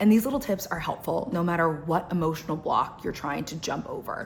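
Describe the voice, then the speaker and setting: A woman speaks in an ordinary speaking voice, fairly low in pitch, with ordinary pitch variation. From United States, Cuban-American family. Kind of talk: casual talk to camera.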